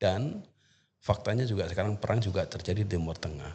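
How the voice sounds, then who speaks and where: Very fast, somewhat breathy male speech with an East Java accent and ordinary pitch variation. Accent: Banyuwangi Osing. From East Java, Indonesia (Banyuwangi). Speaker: university lecturer in Arabic. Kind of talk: podcast interview. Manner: halting, many fillers.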